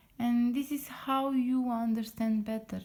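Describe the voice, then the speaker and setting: Very slowly, a woman with a non-native accent speaks in a dark, mellow tone that is somewhat breathy. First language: not English. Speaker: lettering artist. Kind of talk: casual tutorial talk to camera. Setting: at home late at night. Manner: halting with many fillers.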